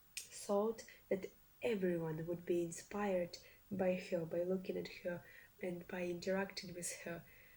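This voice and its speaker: A woman speaks with a Russian accent at a fairly slow pace. Her medium-pitched voice has a dark, mellow tone and monotone, flat intonation. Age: young. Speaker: reaction video youtuber. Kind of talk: casual commentary to camera. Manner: halting, many fillers and restarts.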